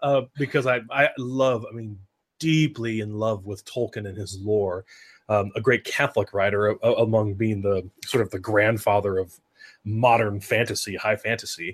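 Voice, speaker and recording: Somewhat breathy and fairly low in pitch, a man speaks at a moderate pace with ordinary pitch variation. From US Northwest, Oregon. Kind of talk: casual chat.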